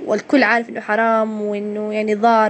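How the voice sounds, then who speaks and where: Over noticeable background noise, a woman with a Hejazi accent speaks at a fairly high pitch. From Hejaz, Saudi Arabia. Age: 20s. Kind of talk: casual interview answer. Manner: hesitant, conversational.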